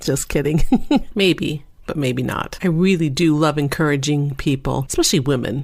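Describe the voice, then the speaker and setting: Using vocal fry and a very deep, low pitch, a woman talks at a fairly quick pace. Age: middle-aged. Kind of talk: podcast talk. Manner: upbeat, humorous.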